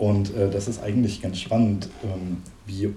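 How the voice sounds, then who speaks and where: A man's dark, mellow, somewhat breathy voice at a fairly slow pace, with fairly even intonation and audible room echo. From central Germany, East Franconian-Hessian-Thuringian border region. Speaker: linguist, university researcher. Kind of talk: interview conversation.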